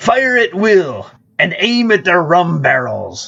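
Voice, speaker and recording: The pace is fairly slow. The speaker performs in a put-on character voice. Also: man, high pitch for a man. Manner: gruff swashbuckling.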